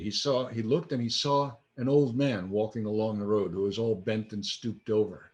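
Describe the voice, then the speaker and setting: Pitch rises and falls in an ordinary way in a normal speaking voice. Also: man. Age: 60s. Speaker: minister. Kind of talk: sermon. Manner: conversational.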